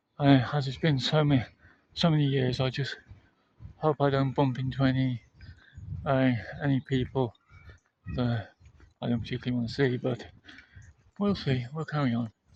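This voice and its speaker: A somewhat breathy man with a medium pitch and fairly even intonation speaks at a moderate pace, leaving long, frequent pauses. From England, Shropshire (Telford area). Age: 30s. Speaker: vlogger. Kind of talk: walking vlog narration. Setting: outdoors, walking. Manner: soft-spoken; hesitant, repetitive.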